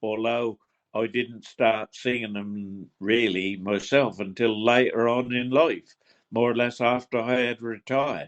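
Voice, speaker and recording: Speaking in a Suffolk accent, a man keeps a medium pitch and fairly even intonation at a fairly slow pace. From Suffolk, England. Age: 80s+. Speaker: retired gamekeeper and traditional singer. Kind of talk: interview. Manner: halting, repeats words.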